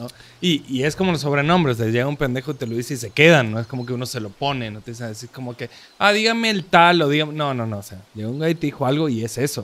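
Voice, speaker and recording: This man speaks at a medium pitch with lively intonation and a very fast pace. His loudness swings widely. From Córdoba, Argentina. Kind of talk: casual chat.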